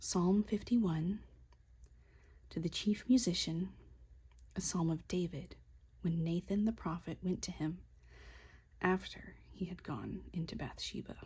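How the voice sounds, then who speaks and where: Soft-spoken and fairly slow, a woman speaks with long, frequent pauses. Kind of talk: soft-spoken Bible reading for sleep. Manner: soft-spoken, relaxing.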